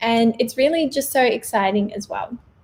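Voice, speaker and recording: In an Australian accent, the speaker goes at a moderate pace with ordinary pitch variation. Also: woman. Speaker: vegan lifestyle vlogger. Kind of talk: livestream Q&A monologue. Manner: casual, chatty.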